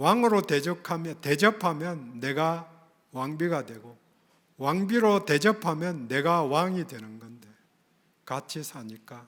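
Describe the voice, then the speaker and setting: Speaking very slowly with a slight Gyeongsang accent, a man uses a fairly high pitch and big swings in loudness. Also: lively intonation. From Gyeongsang region, South Korea. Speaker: pastor. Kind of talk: sermon.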